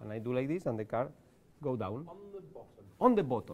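In a Spanish accent, a man with a fairly high pitch moves at a fairly quick pace through very wide pitch swings. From Spain. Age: 40s. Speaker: card magician. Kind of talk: magic performance. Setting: live show with audience. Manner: halting. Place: studio.

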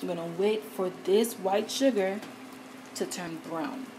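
A woman speaks with a fairly low pitch. Background noise is clearly audible.

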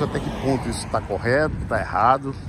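A man's voice comes through at a moderate pace in a dry sound with no echo, with noticeable background noise behind it. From Brazil. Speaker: vlogger. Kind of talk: casual vlog monologue. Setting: outdoors, riding a bicycle.

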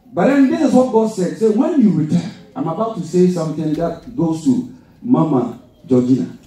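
There is audible room echo as a man speaks at a moderate pace with very wide pitch swings. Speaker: preacher. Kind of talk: sermon. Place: church.

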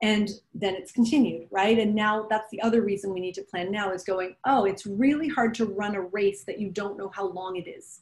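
Her voice is a plain, everyday voice, a woman's at medium pitch, moving at a moderate pace. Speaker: strategic planning facilitator. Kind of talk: conversational professional presentation. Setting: council meeting, remote. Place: home room. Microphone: video call.

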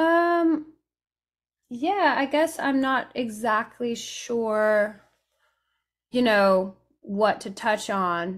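Speaking at a very slow pace with long, frequent pauses, someone with an American accent uses lively intonation against a quiet background. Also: woman, fairly high pitch for a woman. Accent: sounds American. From raised between England, France and Italy. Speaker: Americana musician, banjo and guitar player; guest. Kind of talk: interview, casual chat. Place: home room. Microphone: studio mic.

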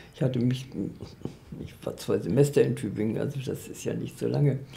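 This woman has a very deep, low pitch and fairly even intonation. She talks at a fairly quick pace. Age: 80s+. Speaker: literary scholar and editor. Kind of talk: interview answer. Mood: calm, reflective, smiling. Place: home room.

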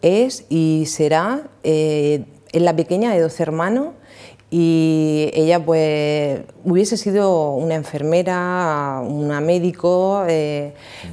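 This woman's voice has a dark, mellow tone and fairly low pitch. Her pitch variation is ordinary. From Spain, Calasparra (Murcia); Murcia, Spain. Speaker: prison ministry volunteer; interview guest. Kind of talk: testimony. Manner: halting. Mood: warm, emotional about family. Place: studio. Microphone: lapel.

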